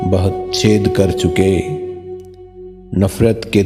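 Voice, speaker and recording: With music in the background, a man speaks in a very deep, low pitch with fairly even intonation. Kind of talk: sad poetry reading.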